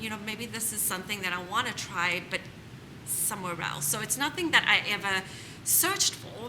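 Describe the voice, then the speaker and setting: A woman talks at a medium pitch in a room with audible echo. Noticeable background noise runs underneath. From South Africa. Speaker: home staging business owner. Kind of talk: panel interview.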